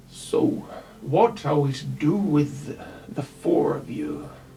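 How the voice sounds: A man's put-on character voice, fairly high in pitch and fairly slow, over clear background noise.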